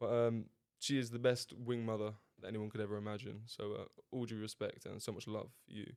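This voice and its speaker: Speaking fairly quickly with a southern English accent, a man keeps a medium pitch and a monotone, flat intonation while his loudness swings widely. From southern England. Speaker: podcast co-host. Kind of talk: casual chat.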